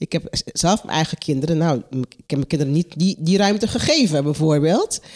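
Lively in her intonation, a woman speaks at a moderate pace on a very clean recording with a silent background. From Curaçao. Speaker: coach and care worker. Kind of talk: casual interview. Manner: halting.

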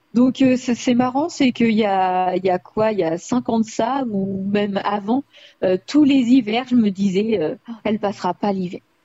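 A woman's fairly high, somewhat breathy voice at a fairly slow pace with ordinary pitch variation. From France, Indre-et-Loire. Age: 20s. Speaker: rabbit owner. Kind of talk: interview.

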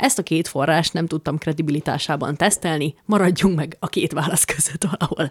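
A somewhat breathy woman's voice, fairly low-pitched, at a fairly quick pace with hardly any pauses and ordinary pitch variation, in a dry, close sound with no echo. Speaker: podcast co-host. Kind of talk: casual chat. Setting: living room.

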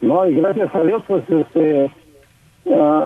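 A man speaking at a very slow pace. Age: 40s. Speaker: caller. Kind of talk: phone-in call. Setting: phone call.

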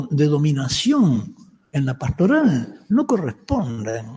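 Very slowly, a man speaks in a dark, mellow tone with very wide pitch swings. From Uruguay, Montevideo. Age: 70s. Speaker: Jesuit priest and Bible scholar giving a lecture. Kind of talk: conference lecture.

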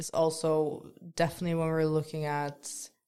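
A woman speaks here. Her pitch sits very deep and low. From Netherlands. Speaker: podcast co-host, intern. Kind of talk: casual discussion.

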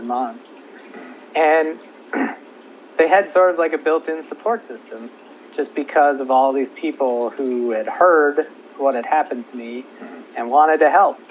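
A man with an American accent speaks at a moderate pace, showing ordinary pitch variation over noticeable background noise. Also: long, frequent pauses, big swings in loudness. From Minnesota. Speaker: meningitis survivor. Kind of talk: casual interview.

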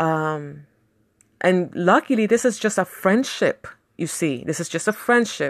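A woman at a medium pitch speaks with lively intonation at a fairly slow pace. Her recording is very clean, with a silent background. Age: 40s. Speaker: podcast host. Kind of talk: personal monologue. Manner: halting.

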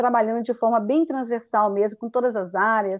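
In a plain, everyday voice, a woman speaks at a moderate pace and a fairly high pitch with fairly even intonation over a quiet background. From Espírito Santo, Brazil. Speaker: children's theatre artist. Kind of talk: casual chat.

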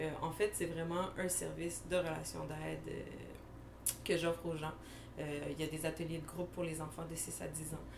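The speaker has a Quebec accent and a moderate pace. Room echo is audible, along with noticeable background noise. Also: woman. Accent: Québécois French. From Montreal, Quebec (Anjou). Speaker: podcast co-host, criminologist. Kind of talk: casual chat.

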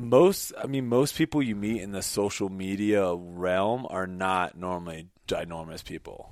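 A man talks at a fairly slow pace with hardly any pauses, in a plain, everyday voice of fairly low pitch and ordinary pitch variation. The recording is very clean, with a silent background. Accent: American. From US South, Jacksonville, Florida. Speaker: professional ultimate frisbee player. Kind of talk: casual interview chat.

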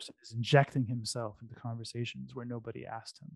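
There's a man with a normal speaking voice at medium pitch, recorded dry and close with no echo. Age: 40s. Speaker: bitcoin entrepreneur. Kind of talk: casual chat.

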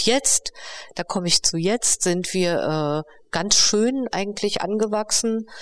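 A woman speaks at a fairly slow pace in an ordinary speaking voice, with ordinary pitch variation. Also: dry, close sound with no echo. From East Berlin, Germany. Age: 50s. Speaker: co-founder and director of a feminist project. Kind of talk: interview conversation. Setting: on location at the project.

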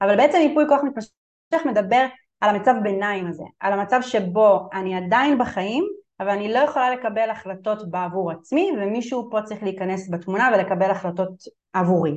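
In a plain, everyday voice, a woman speaks at a moderate pace and medium pitch with lively intonation against a quiet background. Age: 30s. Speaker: family law attorney. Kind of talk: webinar lecture. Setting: online webinar.

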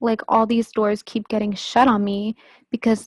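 With an American accent, a woman speaks in a fairly high, somewhat breathy voice whose intonation stays monotone and flat. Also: dry, close sound with no echo. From United States. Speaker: podcast guest, Bible college graduate. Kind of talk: personal testimony in interview.

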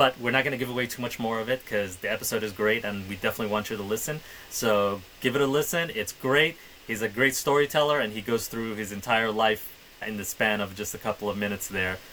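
Through noticeable background noise, a man talks at a very fast pace in a medium pitch with ordinary pitch variation. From Middle East, Somali background. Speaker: podcast co-host. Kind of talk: casual chat.

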